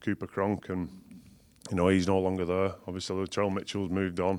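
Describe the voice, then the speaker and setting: In a very clean recording with a silent background, a man with a very deep, low pitch talks at a very fast pace in a monotone, flat intonation. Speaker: rugby league coach, former player. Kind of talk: casual sports chat.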